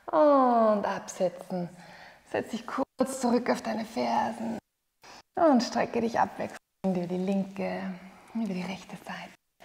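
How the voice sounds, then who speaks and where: A woman talks at a fairly slow pace, with long, frequent pauses. Her voice has vocal fry. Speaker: yoga teacher. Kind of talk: guided exercise instruction. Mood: calm, encouraging. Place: home room.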